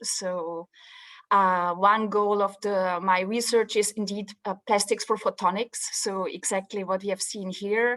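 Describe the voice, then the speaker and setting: Over a quiet background, a woman with a Swiss accent talks at a fairly slow pace and medium pitch in a monotone, flat intonation. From Switzerland, Swiss mountains. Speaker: professor, materials scientist. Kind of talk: presentation in online info session.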